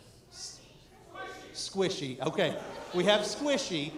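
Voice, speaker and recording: Over noticeable background noise and audible room echo, a man talks in an animated tone. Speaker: improv show emcee. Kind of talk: live stage hosting. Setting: stage with audience.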